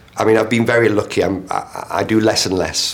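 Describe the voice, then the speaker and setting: A man speaks with a northern English accent at a fairly quick pace. His intonation stays fairly even. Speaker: theatre director. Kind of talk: interview. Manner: halting.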